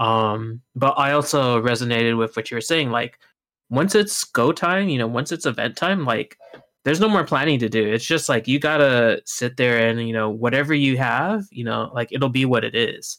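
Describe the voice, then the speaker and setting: On a very clean recording with a silent background, a man with an American accent has an ordinary speaking voice at a medium pitch, talking at a moderate pace with ordinary pitch variation. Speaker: tournament organizer. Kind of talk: casual chat.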